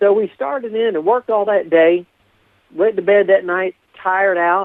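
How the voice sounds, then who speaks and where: A man at a moderate pace, high-pitched, with lively intonation. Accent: American. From Appalachia, eastern US. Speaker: storyteller. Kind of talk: interview storytelling. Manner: animated.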